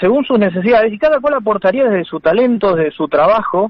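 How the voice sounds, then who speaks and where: Talking at a fairly quick pace, a man with a high voice uses lively intonation. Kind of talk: radio interview.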